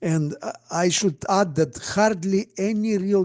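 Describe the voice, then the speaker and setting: With a Bulgarian accent, a man speaks at a very slow pace in a dark, mellow tone against a quiet background. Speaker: astronomer and speculative fiction writer. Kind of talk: conference talk. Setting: virtual conference presentation. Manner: hesitant, with many fillers.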